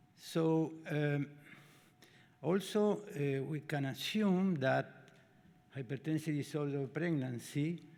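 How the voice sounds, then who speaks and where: A man with a Spanish accent, his voice fairly high for a man, with ordinary pitch variation. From Argentina. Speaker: obstetrician and professor. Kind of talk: lecture. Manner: halting.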